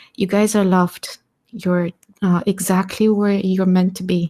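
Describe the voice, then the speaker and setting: In a non-native accent, a dark, mellow voice speaks at a moderate pace with monotone, flat intonation, on a very clean recording with a silent background and a dry, close sound with no echo. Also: woman. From Eastern Europe. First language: not English. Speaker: community member on audio space. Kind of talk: live audio space discussion.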